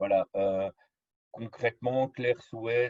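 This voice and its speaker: A dark, mellow, somewhat breathy tone in a dry, close sound with no echo. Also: man. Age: 40s. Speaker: patient trainer, chronically ill patient. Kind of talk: presentation.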